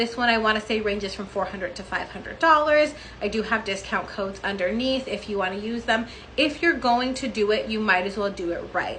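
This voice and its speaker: Speech at a fairly quick pace carries ordinary pitch variation, with noticeable background noise and audible room echo. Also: woman, fairly high pitch for a woman. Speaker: beauty clinic owner and body sculpting educator. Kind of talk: tutorial. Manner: fast.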